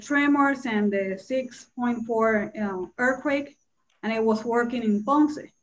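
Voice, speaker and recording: At a very slow pace, a woman talks in a somewhat breathy voice with a Spanish accent and ordinary pitch variation. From Puerto Rico. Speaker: Spanish teacher. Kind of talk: panel discussion. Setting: video call. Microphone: video call.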